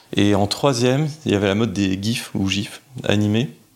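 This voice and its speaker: A man with a fairly low pitch talks while noticeable background noise carries on. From France, Lyon. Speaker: interview guest sharing personal story. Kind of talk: personal testimony. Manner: hesitant, many fillers.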